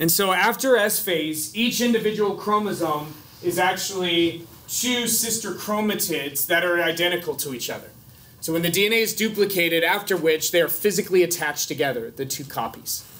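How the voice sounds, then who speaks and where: A man's high voice at a moderate pace, with ordinary pitch variation. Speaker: biology instructor. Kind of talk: lecture. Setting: classroom. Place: classroom.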